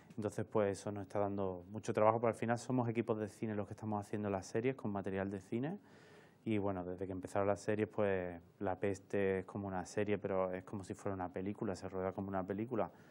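A man speaks at a very fast pace in a fairly low pitch. His intonation is monotone and flat. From Seville, Andalusia, Spain; Andalusia, Spain. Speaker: camera assistant and film workshop instructor; film workshop instructor. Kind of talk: interview. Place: studio.

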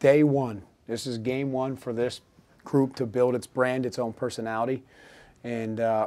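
Speaking at a moderate pace, a man keeps a monotone, flat intonation. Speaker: head coach. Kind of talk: interview answer. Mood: measured, reflective after loss. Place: hall. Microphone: podium.

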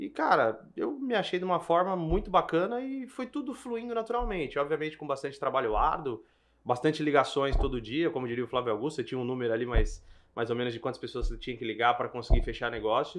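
A man's fairly high voice with very wide pitch swings at a very fast pace, against a quiet background. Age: 30s. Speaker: event bartending business owner. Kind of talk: casual business podcast chat.

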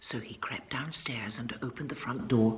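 With audible room echo, a woman speaks at a fairly slow pace in an extremely low pitch.

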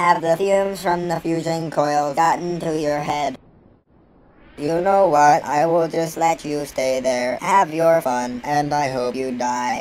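Fairly slow, middle-pitched delivery in a put-on character voice. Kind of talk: machinima voice acting. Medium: machinima. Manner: deadpan, passive-aggressive, mocking.

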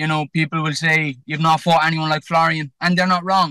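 With an Irish accent, the speaker races at a very fast pace in a bright, sharp tone and monotone, flat intonation, the sound dry with no echo over a quiet background. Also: man. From Ireland. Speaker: professional boxer; boxer on podcast. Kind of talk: pre-fight interview. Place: car. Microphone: phone near.

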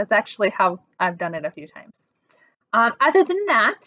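A woman talks at a fairly quick pace in a dry sound with no echo. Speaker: presenter. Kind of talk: tutorial. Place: home room. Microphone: webcam.

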